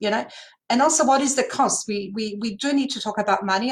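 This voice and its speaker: A woman speaks at a fairly high pitch with a somewhat breathy sound. Her pace is fairly quick. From Poland. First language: Polish. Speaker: language services panelist. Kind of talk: panel discussion. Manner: hesitant, many fillers.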